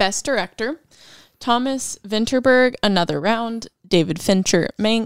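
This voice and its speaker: In a very clean recording with a silent background and a dry, close sound with no echo, a woman speaks in a normal speaking voice at a fairly slow pace, fairly high in pitch with ordinary pitch variation. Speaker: co-host. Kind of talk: casual chat.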